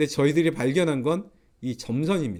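A medium-pitched male voice with very wide pitch swings. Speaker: professor. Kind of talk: lecture. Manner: frequent filler hesitations.

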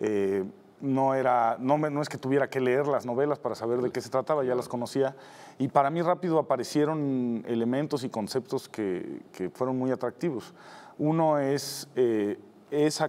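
Pitch shifts in an ordinary way for this man. His pace is moderate. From Mexico City. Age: 50s. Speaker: TV producer. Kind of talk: interview. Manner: hesitant, many fillers. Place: studio. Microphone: lapel.

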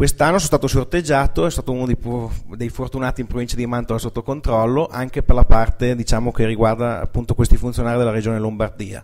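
Speaking at a very fast pace with hardly any pauses, a man shows ordinary pitch variation and big swings in loudness. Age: 20s. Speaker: dairy farmer. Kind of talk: presentation. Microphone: podium.

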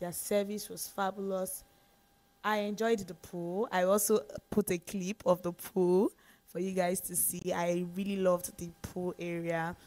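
A woman's fairly slow speech with big swings in loudness over faint background music. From Nigeria. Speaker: travel vlogger. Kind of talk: casual vlog talk to camera. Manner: animated. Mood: relaxed, animated. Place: home room.

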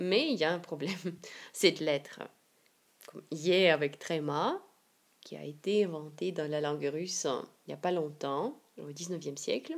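A woman's fairly low voice at a fairly slow pace, with long, frequent pauses, ordinary pitch variation and big swings in loudness. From Siberia, Russia. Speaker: Russian language teacher. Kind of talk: language lesson to camera.

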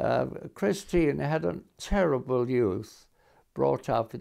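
Against a quiet background, a man speaks very slowly in a dark, mellow tone. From England. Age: 80s+. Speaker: lawyer. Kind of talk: interview. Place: home room. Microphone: lapel.

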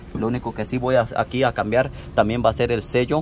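A man's voice over noticeable background noise. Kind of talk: tutorial. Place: garage. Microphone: phone near.

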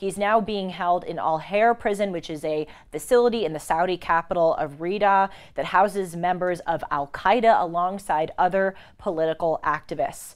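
In an ordinary speaking voice, a woman talks at a moderate pace with a fairly low pitch and ordinary pitch variation over a quiet background. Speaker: show host. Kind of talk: news commentary. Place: studio. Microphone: lapel.

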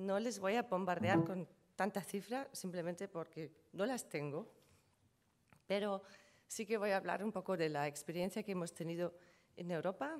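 A woman with a German accent, long and frequent pauses, and ordinary pitch variation. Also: moderate pace. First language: German (speaking Spanish). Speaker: trademark lawyer. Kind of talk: conference presentation. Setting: conference panel with audience. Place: hall. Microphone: podium.

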